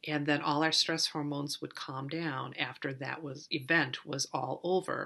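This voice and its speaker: A woman speaks at a moderate pace in a very deep, low pitch with a bright, sharp tone. Her intonation stays monotone and flat. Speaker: counselor. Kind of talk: educational talk. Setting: office. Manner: hesitant with fillers.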